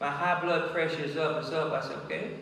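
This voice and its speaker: Amid noticeable background noise and audible room echo, a man speaks in a fairly high, monotone, flat voice. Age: 70s. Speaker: pastor. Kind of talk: memorial tribute speech.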